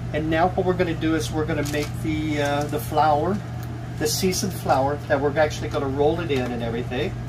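Speaking fairly quickly with an American accent, a man is heard amid noticeable background noise. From Oklahoma. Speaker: YouTube cooking host. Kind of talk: cooking tutorial. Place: kitchen.

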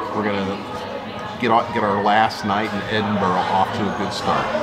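Loud music plays in the background. Over it, a man speaks at a moderate pace. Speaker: travel vlogger. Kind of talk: casual vlog chat. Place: bar. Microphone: phone near.

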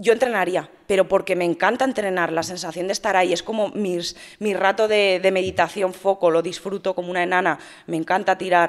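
A woman speaks at a fairly quick pace with a medium pitch and fairly even intonation in a plain, everyday voice, over a quiet background. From Spain, Madrid. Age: 30s. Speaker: fitness influencer and bodybuilding competitor; fitness influencer. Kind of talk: interview. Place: studio. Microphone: studio mic.

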